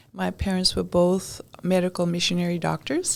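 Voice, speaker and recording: A moderate-paced woman's voice in an American accent, noticeable background noise behind it. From Europe, raised in many countries. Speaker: podcast guest. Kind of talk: interview. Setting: studio.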